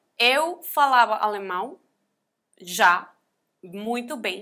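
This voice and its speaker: A woman with a non-native accent speaks in a bright, sharp tone on a very clean recording with a silent background. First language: not Portuguese (speaking Portuguese). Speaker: NGO founder and abuse survivor. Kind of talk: testimony. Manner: halting.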